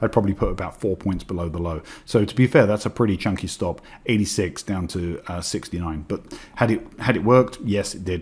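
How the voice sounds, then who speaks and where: At a fairly quick pace, a man with a fairly low, somewhat breathy voice speaks with ordinary pitch variation. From England. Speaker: trading educator. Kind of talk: webinar presentation. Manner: fast; hesitant with fillers.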